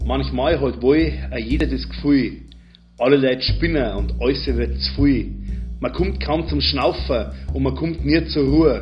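Music plays behind a man who speaks at a fairly slow pace with a Bavarian accent. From Munich, Bavaria. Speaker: poet. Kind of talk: poetry reading.

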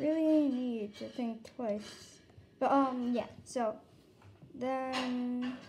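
A woman's high-pitched voice at a very slow pace, fairly even in intonation, with light background noise. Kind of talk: casual tutorial. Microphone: phone near.

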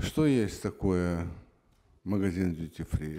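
A man talks at a very slow pace in a dark, mellow tone. The background is quiet. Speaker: member of parliament. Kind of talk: parliamentary debate. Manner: halting. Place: hall. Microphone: podium.

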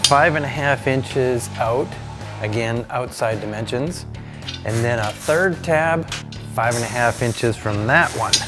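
A man talks at a very slow pace with ordinary pitch variation. Clear music plays in the background. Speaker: fabrication show host. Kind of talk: tutorial. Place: workshop.

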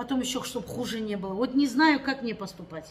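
Over light background noise, a woman talks at a very fast pace with very wide pitch swings. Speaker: vlogger. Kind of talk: casual vlog chat. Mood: aggrieved, complaining. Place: home room. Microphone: phone near.

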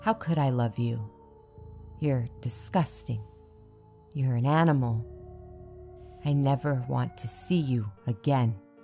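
Over background music, a strained, put-on character voice speaks at a low-to-middle pitch and fairly slow pace with long, frequent pauses. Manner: pleading, then harsh and hurtful.

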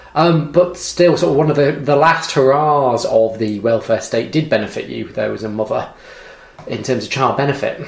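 There is noticeable background noise as a man with a fairly high pitch speaks at a moderate pace with ordinary pitch variation. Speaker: social policy lecturer. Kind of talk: interview. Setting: home kitchen.

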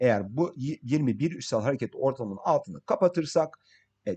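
A man with lively intonation and a dark, mellow tone talks against a quiet background. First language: English (speaking Turkish). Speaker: crypto market analyst. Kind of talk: tutorial. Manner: halting.

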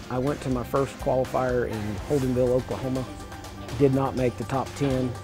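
With clear music in the background, a man with an American accent talks fairly quickly in a flat, monotone delivery. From Illinois. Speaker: livestock auctioneer. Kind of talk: interview answer. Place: hall. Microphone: lapel.

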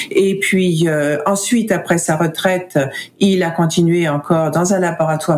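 A woman speaks at a moderate pace with a fairly low pitch and very even loudness. Noticeable background noise runs underneath. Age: 60s. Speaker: foundation director, researcher advocate. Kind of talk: casual interview. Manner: halting, hesitant with fillers.

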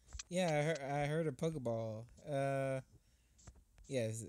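A man speaks at a fairly slow pace, in medium pitch with ordinary pitch variation. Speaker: gaming YouTuber. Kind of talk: casual gameplay commentary. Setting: online voice call. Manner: loud.

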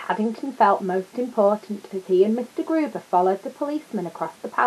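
Lively intonation carries the delivery. It is reading aloud in a natural voice.

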